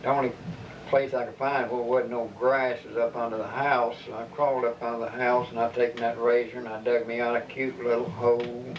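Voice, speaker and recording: Against noticeable background noise, a man at a medium pitch talks at a fairly quick pace in a monotone, flat voice. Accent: Kentucky. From Kentucky. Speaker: elderly relative telling family stories. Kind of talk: oral history interview.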